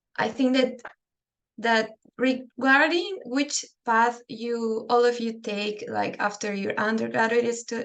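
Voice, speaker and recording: A woman speaks with a Spanish accent. Her pitch is fairly high. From Peru. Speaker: dental public health researcher. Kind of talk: webinar lecture. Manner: halting.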